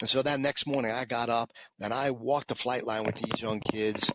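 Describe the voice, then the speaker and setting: A man with a New York accent, medium pitch and a moderate pace. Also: dry, close sound with no echo. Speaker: former fighter pilot and motivational speaker. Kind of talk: interview storytelling.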